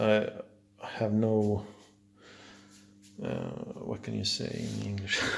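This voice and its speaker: In a Swedish accent, a man talks very slowly at a fairly low pitch. His intonation stays monotone and flat. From Sweden. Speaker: car hobbyist. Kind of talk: casual video walkthrough. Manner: halting, many fillers.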